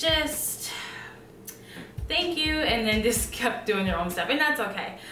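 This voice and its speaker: In a room with audible echo, a woman with a high pitch speaks at a fairly slow pace in a raised, projected voice. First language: not English. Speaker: nursing student vlogger. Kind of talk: casual vlog. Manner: many filler ums.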